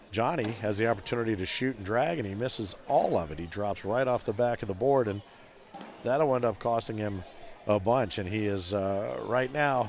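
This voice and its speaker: The man has a normal speaking voice at a medium pitch. He talks at a moderate pace with ordinary pitch variation. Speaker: cornhole commentator. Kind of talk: live sports commentary. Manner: conversational, playful.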